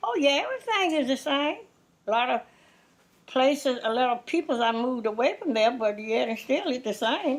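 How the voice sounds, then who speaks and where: A woman with an American accent, high pitch and lively intonation at a moderate pace. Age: 80s+. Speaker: oral history interviewee. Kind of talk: interview answer.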